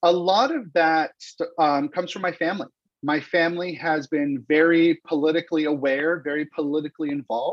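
With a Californian accent, a man speaks fairly quickly at a fairly high pitch, keeping his intonation fairly even. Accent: Californian American English. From Los Angeles, California. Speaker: campaign strategist. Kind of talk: interview. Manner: projecting voice.

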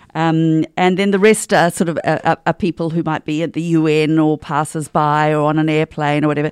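A woman with a New Zealand accent at a fairly quick pace and a very deep, low pitch, hardly any pauses, in a dry, close sound with no echo and a very clean recording with a silent background. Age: 60s. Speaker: stage actor. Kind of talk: interview. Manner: animated.

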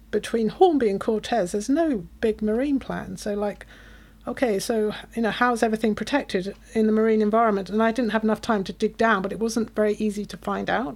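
A woman with a British accent speaks at a fairly high pitch and a fairly quick pace. The recording is very clean, with a silent background. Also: ordinary pitch variation. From UK. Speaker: conservation charity staffer. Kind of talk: casual interview chat.

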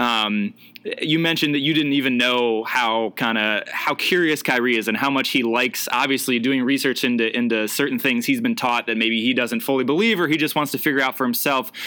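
Noticeable background noise sits behind a man who speaks at a fairly quick pace and medium pitch, with ordinary pitch variation, very even loudness and hardly any pauses. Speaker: podcast host and sports writer. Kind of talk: casual interview conversation.

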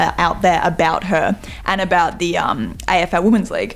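Noticeable background noise sits behind a woman whose fairly low voice keeps a fairly even intonation. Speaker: singer and MC in fringe show. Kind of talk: casual radio chat.

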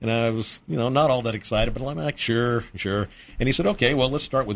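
In an American accent, a man with an unremarkable speaking voice talks at medium pitch and a fairly quick pace on a very clean recording with a silent background. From Texas. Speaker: restaurant owner. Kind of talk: interview. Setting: studio.

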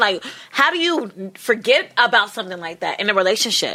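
A woman's bright, sharp, animated tone with very wide pitch swings. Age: 20s. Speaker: podcast host. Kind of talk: casual chat.

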